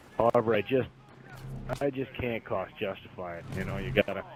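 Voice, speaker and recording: A man with a Wisconsin accent, against noticeable background noise. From US Midwest, Wisconsin. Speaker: gamer. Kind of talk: casual interview.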